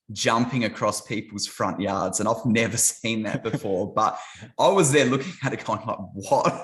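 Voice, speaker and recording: A man with an Australian accent speaks at a moderate pace in a fairly low voice. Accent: thick Australian. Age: 30s. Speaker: YouTuber, ministry channel. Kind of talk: casual chat.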